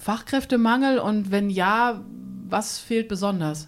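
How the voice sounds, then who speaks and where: A woman speaks at a fairly slow pace over noticeable background noise. Her pitch is medium, with ordinary variation. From Minden-Lübbecke district, Germany. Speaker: podcast host. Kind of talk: interview. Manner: animated.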